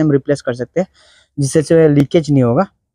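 In a dry, close sound with no echo, a man talks at a fairly high pitch with a dark, mellow tone and fairly even intonation.

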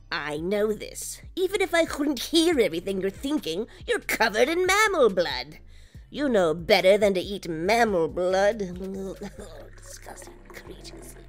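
Clear background noise runs beneath this woman's voice. She speaks at a moderate pace, fairly high in pitch, with very wide pitch swings. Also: big swings in loudness. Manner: stern, scolding, dry.

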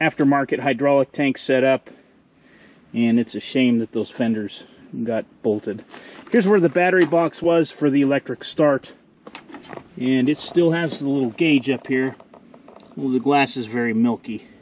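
Moving at a moderate pace, a man speaks with ordinary pitch variation and long, frequent pauses. The sound is dry with no echo, over light background noise. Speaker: tractor restorer. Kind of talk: casual walkaround commentary. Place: open country. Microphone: phone near.

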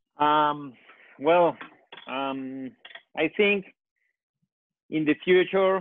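A man with a Colombian accent speaks with a fairly high pitch and ordinary pitch variation. The sound is dry with no echo, against a quiet background. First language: Spanish. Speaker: architect; panelist. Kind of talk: panel discussion. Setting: phone call. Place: home room. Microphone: earbuds.

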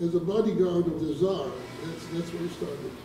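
Behind this man's voice, there is audible room echo and noticeable background noise. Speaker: audience member. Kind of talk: audience question. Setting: stage with audience. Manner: halting. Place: hall.

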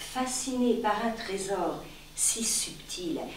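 With a dramatic tone and a fairly high pitch, a woman speaks amid audible room echo and light background noise. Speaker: reader of a short story. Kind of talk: literary audiobook reading, a live public reading of a short story. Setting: live reading at an arts venue. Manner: formal, measured literary delivery with elevated diction; slow, deliberate, long-breathed phrasing with dramatic pauses. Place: stage. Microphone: camera far.

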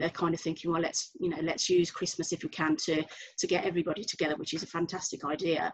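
A woman with a Birmingham accent and a fairly low pitch. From Birmingham, England. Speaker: travel agent; panellist. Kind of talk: panel discussion on video call. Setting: video call. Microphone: video call.

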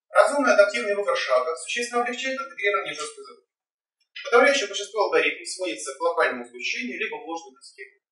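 A man with a high pitch uses a raised, projected voice at a very fast pace, with very wide pitch swings and big swings in loudness. There is audible room echo, but the background is quiet. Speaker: doctoral candidate defending dissertation; candidate. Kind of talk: academic presentation. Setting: in-person council meeting room. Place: hall. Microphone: camera far.

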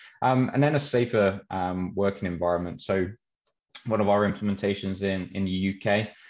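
A man's low-pitched voice with a slightly mellow tone, fairly even intonation and a moderate pace.

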